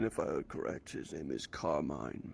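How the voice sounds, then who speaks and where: A raspy, put-on character voice from a man at a moderate pace, over clear background noise. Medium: actual play. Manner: terse, blunt, menacing.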